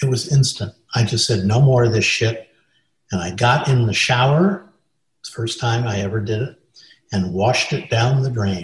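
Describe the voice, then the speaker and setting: With a General American accent, a man speaks at a moderate pace in a medium pitch and a somewhat breathy voice. His pitch varies in an ordinary way, and he takes long, frequent pauses. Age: 70s. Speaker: film and stage director. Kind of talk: interview, recounting anecdotes.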